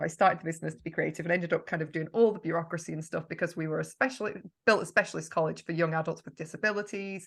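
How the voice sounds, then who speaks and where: A woman's fairly low voice with a Yorkshire accent, bright and sharp in tone, with vocal fry and ordinary pitch variation. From Yorkshire, northern England. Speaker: marketing mentor. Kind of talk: podcast interview. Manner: chatty, talkative.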